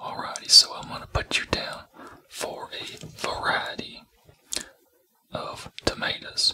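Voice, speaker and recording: Someone whispers with an American accent, leaving long, frequent pauses. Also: fairly slow pace. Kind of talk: ASMR roleplay. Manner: whispered.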